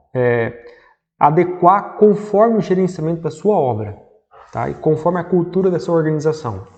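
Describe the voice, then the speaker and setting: With audible room echo, a man with a high pitch speaks at a moderate pace using lively intonation. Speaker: civil engineer teaching construction management. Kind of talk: lecture.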